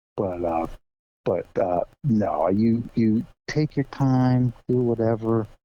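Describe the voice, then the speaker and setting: Speaking very slowly with a Florida accent, a man keeps a very even loudness and ordinary pitch variation. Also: medium pitch for a man. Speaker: percussionist and visual artist. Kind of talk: interview. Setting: phone call. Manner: halting, repetitive.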